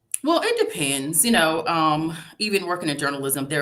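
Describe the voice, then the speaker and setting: Over audible room echo, a woman with a Tidewater Virginia accent talks at a fairly quick pace in a fairly low voice with a bright, sharp tone. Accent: Norfolk Virginia dialect, Southern. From Norfolk, Virginia. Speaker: public relations professional, divorce story author. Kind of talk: interview.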